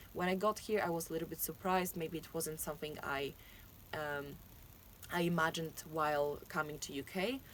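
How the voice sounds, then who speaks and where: A woman's fairly low voice with a Polish accent, ordinary pitch variation and a fairly quick pace. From Poland. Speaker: university student. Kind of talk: interview. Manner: halting.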